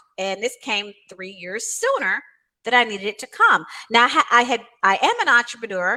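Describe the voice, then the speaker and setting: Bright and sharp in tone, a woman speaks at a fairly quick pace. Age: 60s. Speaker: author and financial coach. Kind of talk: interview.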